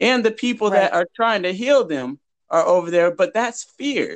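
With a quiet background, a man speaks in a high pitch with lively intonation. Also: dry, close sound with no echo. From Huntington Beach, California. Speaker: activist. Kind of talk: interview.

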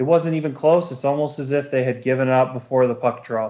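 He has an ordinary speaking voice at a medium pitch. The man keeps a moderate pace and a fairly even intonation. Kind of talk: casual analysis chat. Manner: relaxed, conversational.

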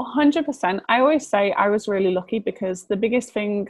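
With a Liverpool accent, a woman speaks at a moderate pace. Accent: Scouse. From northern England, Liverpool. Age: 20s. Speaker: model and aspiring writer. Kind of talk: casual interview.

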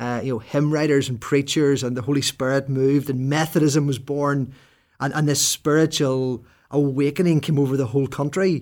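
Monotone, flat intonation comes in a Northern Irish accent at a moderate pace. The recording is very clean, with a silent background. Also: man, fairly high pitch for a man. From Northern Ireland, rural. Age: 40s. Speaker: Presbyterian minister and podcast co-host. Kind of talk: casual chat.

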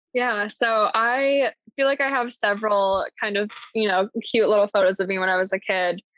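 A woman with an American accent at a moderate pace, ordinary pitch variation and very even loudness. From US Midwest, Indiana (Columbus). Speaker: podcast guest. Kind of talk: casual interview chat.

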